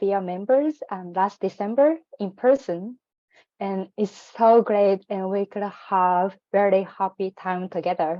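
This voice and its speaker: A woman's medium-pitched voice with a non-native accent, fairly slow, with ordinary pitch variation. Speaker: program alumna. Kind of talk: personal testimony in online info session. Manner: hesitant, many fillers.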